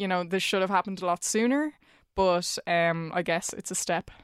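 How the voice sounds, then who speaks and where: A woman with an Irish accent, recorded very cleanly against a silent background. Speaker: journalist. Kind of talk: casual chat.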